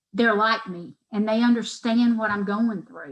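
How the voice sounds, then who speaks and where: The speaker has an American accent and a somewhat breathy voice. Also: woman. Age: 40s. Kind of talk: interview answer.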